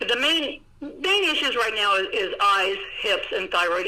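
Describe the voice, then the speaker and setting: A woman speaks at a moderate pace. Audible room echo and noticeable background noise fill the recording. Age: 60s. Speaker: dog breeder and show judge. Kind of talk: interview.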